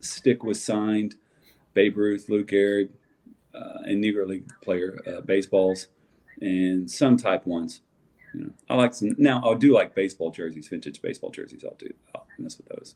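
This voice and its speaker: A man speaks with a strong Southern US accent. His pace is moderate. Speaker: sports card collector. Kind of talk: casual chat.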